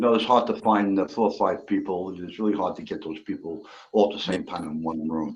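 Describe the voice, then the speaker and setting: A man with an unremarkable speaking voice talks at a fairly quick pace, his pitch fairly low and his pitch variation ordinary. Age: 60s. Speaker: livestream guest, retired bass player. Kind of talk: casual chat.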